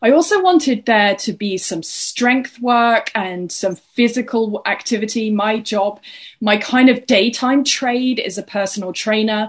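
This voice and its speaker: A fairly slow, somewhat breathy delivery with an English accent, hardly any pauses, ordinary pitch variation and a quiet background. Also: woman, fairly high pitch for a woman. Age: 40s. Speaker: fitness and wellness coach. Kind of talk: interview, casual chat.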